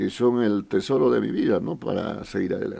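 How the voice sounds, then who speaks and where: A man speaks with vocal fry. His intonation is lively. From Bolivia, Potosí. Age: 40s. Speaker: foundation director and politician. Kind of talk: casual interview. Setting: radio studio.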